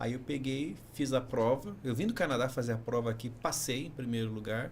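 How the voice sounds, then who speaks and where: This man's voice sits at a medium pitch and sounds somewhat breathy. He keeps a moderate pace with fairly even intonation. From Brazil, São Paulo. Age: 50s. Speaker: engineering professor, former university rector. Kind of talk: podcast interview.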